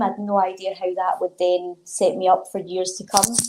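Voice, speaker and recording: A woman speaks with a Glaswegian accent. Her pace is moderate. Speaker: sports development coordinator and author. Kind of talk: interview answer.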